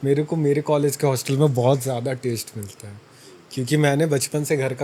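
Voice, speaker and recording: With a somewhat breathy voice pitched fairly high, the man keeps his intonation fairly even and his pace moderate. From Chhattisgarh, India. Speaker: fitness influencer and college student. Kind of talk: interview answer. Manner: casual.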